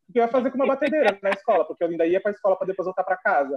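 A man talking very fast with lively intonation. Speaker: podcast co-host. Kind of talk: casual chat.

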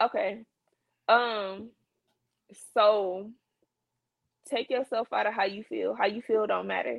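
A woman with a fairly high voice and vocal fry speaks at a fairly slow pace with ordinary pitch variation, leaving long, frequent pauses. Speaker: entrepreneur, company founder. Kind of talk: casual chat.

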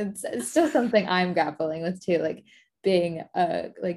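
A woman with an American accent talks at a medium pitch in a somewhat breathy voice. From Florida, Tampa. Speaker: period care brand founder. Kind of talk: interview conversation.

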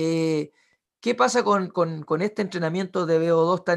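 A man's fairly high, ordinary speaking voice at a moderate pace, with ordinary pitch variation and a quiet background. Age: 30s. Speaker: podcast host and physiotherapist. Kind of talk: casual interview.

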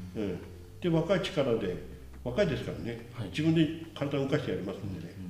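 A man's dark, mellow voice at medium pitch with vocal fry and very wide pitch swings, fairly quick, with audible room echo. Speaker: city council vice chairman. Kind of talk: casual interview.

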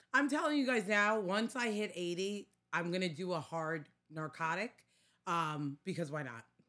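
Very wide pitch swings mark this animated voice with a bright, sharp tone and a Staten Island accent. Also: woman, fairly low pitch for a woman, moderate pace. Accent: Staten Island New York. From New York. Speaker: podcast co-host. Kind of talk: casual chat.

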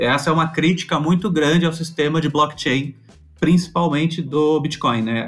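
Using an ordinary speaking voice, a man talks at a moderate pace with fairly even intonation and a fairly high pitch. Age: 30s. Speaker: crypto community manager. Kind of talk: casual chat.

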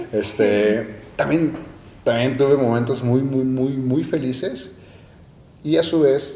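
A man's voice with audible room echo. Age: 20s. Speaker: podcast host. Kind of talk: casual chat.

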